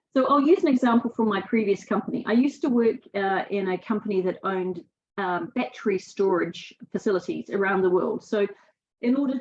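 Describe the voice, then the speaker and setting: Her pitch medium and ordinarily varied, a woman speaks at a fairly quick pace. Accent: New Zealand. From New Zealand. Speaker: sustainability speaker. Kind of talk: webinar presentation. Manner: halting, many fillers.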